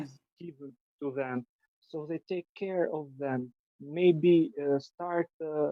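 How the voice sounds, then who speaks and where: A fairly high male voice with an Albanian accent, very slow pace and fairly even intonation. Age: 30s. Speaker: triathlete and cyclist. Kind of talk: podcast interview answer. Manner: hesitant.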